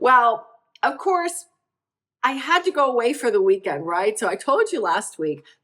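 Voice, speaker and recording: A woman speaks at a moderate pace with very wide pitch swings. Her tone is animated. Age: 60s. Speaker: wellness vlogger. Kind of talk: personal vlog.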